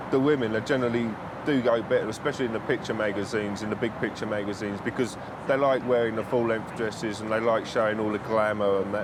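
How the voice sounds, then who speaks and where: Fairly even in intonation, a man's medium-pitched voice races at a very fast pace through noticeable background noise and audible room echo. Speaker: press photographer. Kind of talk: interview. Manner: loud.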